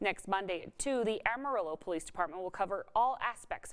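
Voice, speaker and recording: Over a quiet background, a woman speaks in an unremarkable speaking voice at a moderate pace. Her pitch is medium with ordinary pitch variation. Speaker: television anchor, reporter and lifestyle show host. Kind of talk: local TV news anchor read. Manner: clear, professional, measured.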